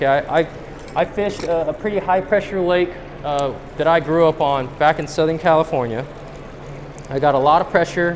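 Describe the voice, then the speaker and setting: A man speaks at a fairly quick pace in an American accent. He leaves long, frequent pauses, with light background noise behind him. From US West Coast. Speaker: professional angler giving a seminar; presenter. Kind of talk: seminar talk to a live audience. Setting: stage with audience at a fishing show. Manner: animated. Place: hall.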